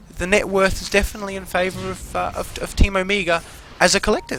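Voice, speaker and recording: A high-pitched man talks through noticeable background noise. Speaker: esports caster. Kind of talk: video game commentary.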